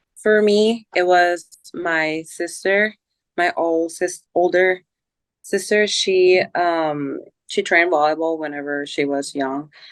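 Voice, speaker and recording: A woman with a Spanish accent at a very slow pace, with ordinary pitch variation. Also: fairly low pitch for a woman. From Colombia. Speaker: volleyball player. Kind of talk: casual interview.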